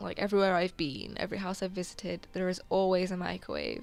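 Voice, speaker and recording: The speaker goes at a fairly quick pace with a British accent. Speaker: gaming YouTuber. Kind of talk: gameplay voiceover commentary. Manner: halting.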